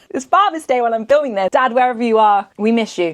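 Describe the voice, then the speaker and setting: A woman talks at a fairly quick pace with a southern English accent and a fairly high pitch. Her tone is animated and her intonation lively. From England, Essex. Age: 20s. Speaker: beauty vlogger. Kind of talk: casual chat.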